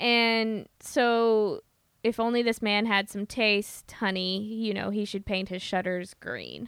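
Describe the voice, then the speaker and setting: A woman with a Midwestern US accent, fairly high in pitch, fairly even in intonation, at a very slow pace. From US Midwest. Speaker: podcast host. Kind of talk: casual chat.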